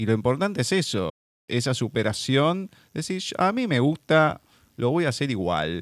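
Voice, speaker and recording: A man with a Rioplatense accent, medium pitch and very wide pitch swings at a moderate pace, dry and close with no echo on a very clean, silent recording. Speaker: radio host. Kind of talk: radio interview. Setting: studio.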